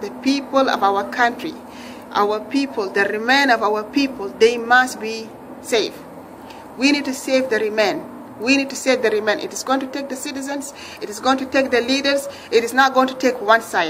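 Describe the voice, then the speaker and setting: With audible room echo and noticeable background noise, a woman speaks at a moderate pace in a high pitch with ordinary pitch variation. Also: big swings in loudness. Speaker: religious video blogger. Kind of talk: impassioned religious appeal. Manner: rising pitch when upset; emphatic, repetitive.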